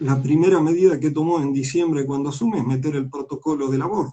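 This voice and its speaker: Somewhat breathy, this man's voice has a dark, mellow tone and a fairly high pitch. He speaks at a moderate pace with fairly even intonation. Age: 60s. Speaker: politician. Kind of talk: interview. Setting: online live stream.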